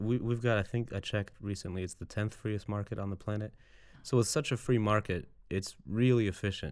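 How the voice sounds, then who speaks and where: On a very clean recording against total silence, a plain, everyday voice goes at an even, medium tempo with normal pitch movement. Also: man. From Serbia, moved to US Midwest at seven. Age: 30s. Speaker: voter, immigrant. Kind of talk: interview. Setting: studio.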